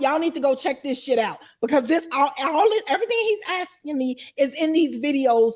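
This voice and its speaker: Speaking at a fairly quick pace, a woman uses a high pitch and an animated tone. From Chicago. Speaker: interviewee, former inmate and YouTuber. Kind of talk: casual interview.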